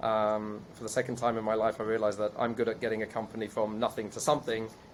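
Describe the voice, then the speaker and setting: Speaking with a British accent, a man keeps to a medium pitch. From UK. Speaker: investor and entrepreneur. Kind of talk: podcast interview.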